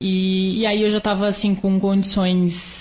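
The woman's pitch is medium and her intonation monotone and flat. Her voice is somewhat breathy. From Brazil, Santa Catarina. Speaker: triathlete and physical education professional. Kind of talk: interview.

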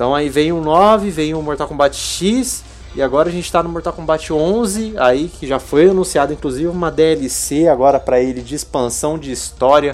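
Music plays behind a man talking at a moderate pace. His voice sits fairly high, with ordinary pitch variation. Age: 20s. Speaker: podcast host. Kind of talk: casual chat; reading aloud.

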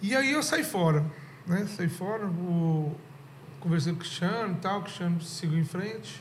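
A man's high-pitched voice at a moderate pace, ordinary pitch variation, audible room echo. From Goiânia, Brazil (moved young). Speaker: rock musician and venue owner. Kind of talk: casual chat.

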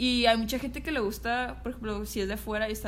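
A woman with a northern Mexican accent talks at a very fast pace amid audible room echo and noticeable background noise. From Sinaloa, northern Mexico. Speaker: photographer. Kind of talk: casual chat.

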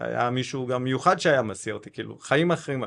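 Very fast speech with vocal fry over a quiet background. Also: man. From South Africa, Cape Town. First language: English (speaking Hebrew). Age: 40s. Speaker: tech company founder. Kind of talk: interview.

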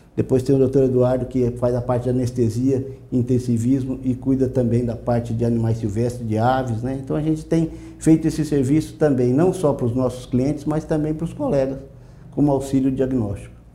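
A man talks at a fairly quick pace with a dark, mellow, somewhat breathy tone and fairly even intonation. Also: medium pitch for a man. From Brazil, Mato Grosso do Sul. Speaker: veterinarian. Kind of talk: interview. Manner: halting.

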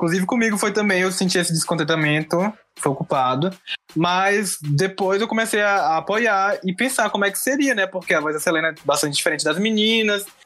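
Against noticeable background noise, a man talks at a fairly quick pace. His voice is high, with ordinary pitch variation. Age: 20s. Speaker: film student. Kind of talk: casual chat.

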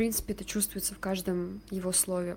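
Somewhat breathy and medium in pitch, a woman speaks with monotone, flat intonation. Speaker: writer and surrealist photographer. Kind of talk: interview.

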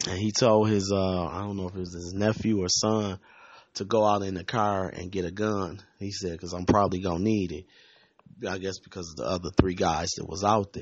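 Fairly quick and monotone, a man with an American accent speaks in a very deep, low pitch, his loudness swinging widely. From Flint, Michigan. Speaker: podcaster. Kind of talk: angry rant. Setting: home recording, late night. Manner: unedited, rambling, filler-heavy.

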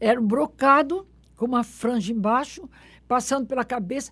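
Somewhat breathy, a woman speaks at a moderate pace in a very clean recording with a silent background. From Belém do Pará, northern Brazil. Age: 70s. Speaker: religious festival researcher and author. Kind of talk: interview storytelling.

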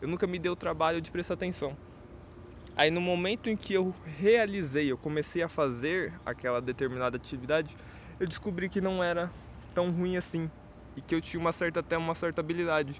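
The man's pitch is high, with ordinary variation. He talks at a fairly quick pace but leaves long, frequent pauses. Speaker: podcaster. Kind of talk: solo monologue. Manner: casual, hesitant with repetitions.

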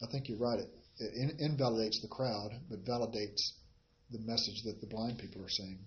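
A man's somewhat breathy, medium-pitched voice at a fairly quick pace. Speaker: Bible study teacher. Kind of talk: Bible study teaching. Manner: hesitant with fillers.

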